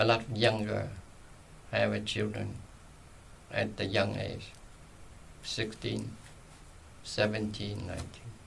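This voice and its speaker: The man speaks at a fairly slow pace, leaving long, frequent pauses. Room echo is audible. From Vietnam, Saigon. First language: Vietnamese. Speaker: retired journalist and social worker. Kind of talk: oral history interview. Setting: library recording room.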